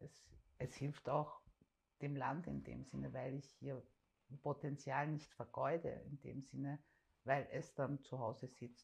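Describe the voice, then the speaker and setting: A woman speaks very slowly with long, frequent pauses, a very deep, low pitch, vocal fry, and monotone, flat intonation. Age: 40s. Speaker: parent advocate. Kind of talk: interview.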